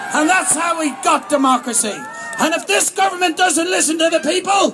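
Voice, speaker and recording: Amid crowd noise, a man projects a raised voice at an extremely high pitch and fairly quick pace, with very even loudness and ordinary pitch variation. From Ireland. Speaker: protest speaker. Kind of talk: rally speech. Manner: animated.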